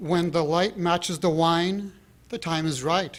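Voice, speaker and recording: Speaking at a very slow pace, a high-pitched man with an American accent is heard in a very clean recording with a silent background. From San Francisco Bay Area, USA. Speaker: poet. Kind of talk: poetry reading. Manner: mellow, soft.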